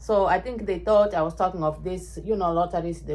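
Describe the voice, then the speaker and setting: This is a woman speaking. She has a Kenyan accent. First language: Ekegusii (Kisii). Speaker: vlogger. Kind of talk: casual chat. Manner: animated.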